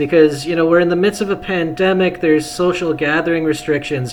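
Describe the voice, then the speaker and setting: Over noticeable background noise, a man speaks at a moderate pace in a high pitch. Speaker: MMA journalist. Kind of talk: interview question at media day.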